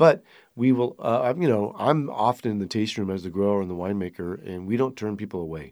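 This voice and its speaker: Recorded very cleanly over a silent background, a man with an American accent talks at a very fast pace. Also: fairly low pitch for a man, lively intonation. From Sonoma County, California. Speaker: winery owner and winemaker. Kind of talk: casual chat.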